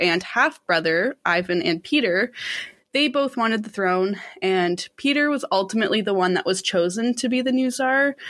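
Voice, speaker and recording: Lively intonation runs through a woman's fairly high pitch, a plain, everyday voice. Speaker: podcast co-host telling the case history. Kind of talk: casual storytelling.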